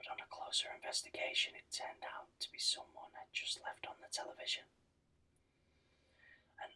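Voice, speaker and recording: A man is whispering in a gentle tone. His pace is moderate. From Britain. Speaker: ASMR channel host. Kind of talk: sleep-inducing book reading. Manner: whispered, gentle.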